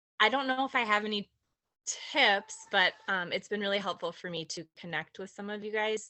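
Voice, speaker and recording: This woman's voice has a medium pitch, ordinary pitch variation and a moderate pace. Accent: Minnesotan. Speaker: direct sales consultant. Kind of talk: casual sharing in team meeting.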